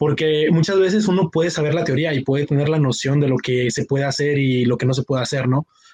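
A fairly high-pitched man at a very fast pace, somewhat breathy, with ordinary pitch variation, hardly any pauses and very even loudness. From Monterrey, northern Mexico. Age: 20s. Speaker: university student, competition team member. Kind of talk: casual chat.

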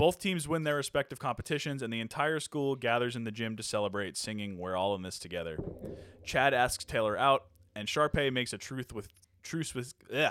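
A man's normal speaking voice at a medium pitch and a fairly quick pace, on a very clean recording with a silent background. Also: lively intonation. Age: 30s. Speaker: podcast co-host. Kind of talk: casual chat; reading a plot summary.

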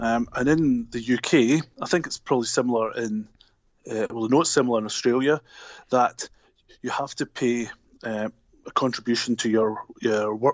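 A man speaks with a Scottish accent at a medium pitch. His intonation stays fairly even. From Glasgow, Scotland. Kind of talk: casual interview chat. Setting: phone call.

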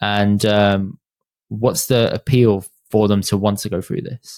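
Over a silent background in a very clean recording, a man of medium pitch speaks with a British accent. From England. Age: 30s. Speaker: podcast host. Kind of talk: interview conversation.

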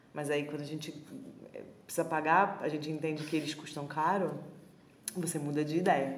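In a room with audible echo, a woman with a very deep, low voice speaks at a moderate pace. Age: 20s. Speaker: podcast co-host. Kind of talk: casual chat.

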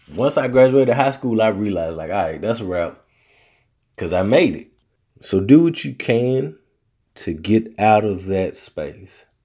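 A man with a Southern US accent and a fairly low, dark, mellow voice, lively intonation, big swings in loudness, a fairly slow pace and long, frequent pauses. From US South. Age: 30s. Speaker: podcast host. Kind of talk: casual solo podcast monologue.

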